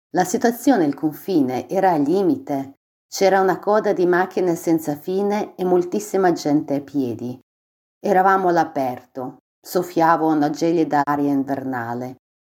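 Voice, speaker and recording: On a very clean recording with a silent background, a woman with a fairly low voice and a dark, mellow tone speaks at a moderate pace with lively intonation. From Ukraine, Dnipro. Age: 40s. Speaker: refugee. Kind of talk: testimony.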